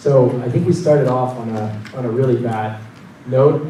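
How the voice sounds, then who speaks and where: A man with a Portuguese accent speaks at a moderate pace with ordinary pitch variation, audible room echo and noticeable background noise. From Brazil (Paraná, São Paulo), moved to US at 12. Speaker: tech executive. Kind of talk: conference talk. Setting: stage with audience.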